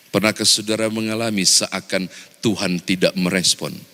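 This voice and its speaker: With a Manado accent, a man speaks at a fairly slow pace against noticeable background noise. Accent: Manado regional dialect of Indonesian. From Manado, Indonesia. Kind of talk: sermon, preaching.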